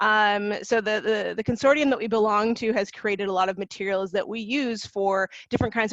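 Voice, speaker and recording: This voice has a Canadian accent and moves at a fairly quick pace with hardly any pauses. The background is quiet. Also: woman. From Canada. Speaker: university international recruitment officer. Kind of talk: webinar presentation. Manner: hesitant, many fillers and repetitions.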